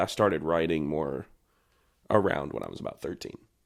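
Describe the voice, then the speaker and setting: With a Southern accent, a man talks at a fairly quick pace on a very clean recording with a silent background. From North Carolina. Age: 20s. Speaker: country singer. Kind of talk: casual chat.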